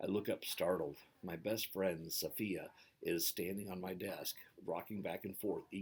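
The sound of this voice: What we hear is an unforced reading voice. It stays that way from start to finish.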